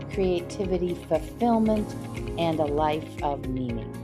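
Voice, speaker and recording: A woman talks fairly slowly while music plays in the background. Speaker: podcast host. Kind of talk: show introduction.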